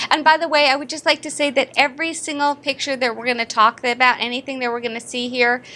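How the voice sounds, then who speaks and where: High-pitched woman, bright and sharp in tone, at a fairly quick pace. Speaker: dentist and dental educator. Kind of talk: lecture. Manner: fast; animated.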